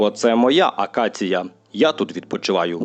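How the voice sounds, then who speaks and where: Putting on a growling character voice, a man speaks at a fairly low pitch and a moderate pace. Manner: snarling, bullying.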